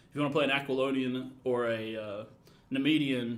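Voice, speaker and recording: In a room with audible echo, a man of medium pitch speaks at a moderate pace with ordinary pitch variation. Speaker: game developer and writer. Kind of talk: live stream gameplay commentary. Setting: live stream. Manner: loud.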